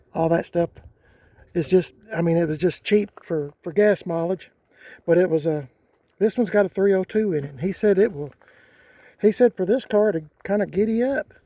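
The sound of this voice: A man's high pitch and dark, mellow tone, with ordinary pitch variation at a moderate pace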